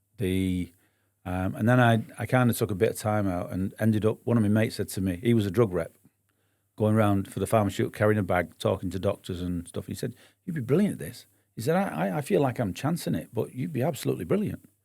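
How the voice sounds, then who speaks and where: On a very clean recording with a silent background, a man with a northern English accent speaks very fast at a fairly low pitch with lively intonation. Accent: northern English, non-local. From northern England, Bury, Lancashire near Manchester. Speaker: business owner, entrepreneur. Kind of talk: podcast interview. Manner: hesitant, many fillers.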